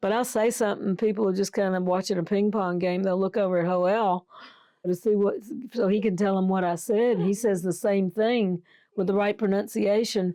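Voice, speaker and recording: A woman with an Alabama accent, dark, mellow tone and monotone, flat intonation at a moderate pace. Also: medium pitch for a woman. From US South, Tuscaloosa, Alabama. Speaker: missionary nurse. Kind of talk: interview, casual chat.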